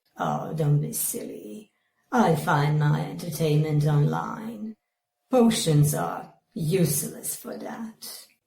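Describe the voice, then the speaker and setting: This is a put-on character voice in a low-to-middle pitch. It moves at a very slow pace. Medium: comedy sketch. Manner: deadpan, blunt.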